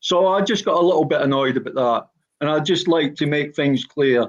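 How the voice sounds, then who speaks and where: Ordinary pitch variation in a Glaswegian accent. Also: man. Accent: Glaswegian Scottish. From Scotland, Glasgow (Gorbals). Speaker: former professional footballer. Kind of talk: personal statement in podcast. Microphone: frozen video connection.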